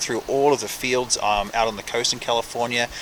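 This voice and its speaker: Against noticeable background noise, a man with a medium pitch talks at a fairly quick pace, with ordinary pitch variation. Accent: New Zealand. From New Zealand. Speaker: professional chef. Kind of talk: interview.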